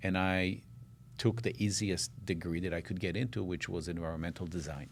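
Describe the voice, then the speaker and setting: This man talks at a fairly quick pace with a very deep, low voice and ordinary pitch variation. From Israel, then Minnesota from age 12. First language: Hebrew. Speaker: architect. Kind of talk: interview.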